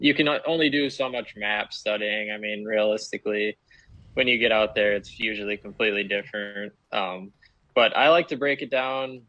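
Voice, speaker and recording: Speaking with an American accent at a moderate pace, a man with a normal speaking voice, fairly low in pitch, shows ordinary pitch variation. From Wisconsin. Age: 20s. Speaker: professional bass angler. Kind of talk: interview.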